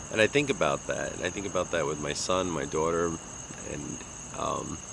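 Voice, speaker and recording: In a Long Island accent, a man speaks at a moderate pace. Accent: New York (Long Island) American. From US Northeast, Long Island, New York. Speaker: vlogger. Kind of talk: casual monologue. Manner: halting, with many fillers.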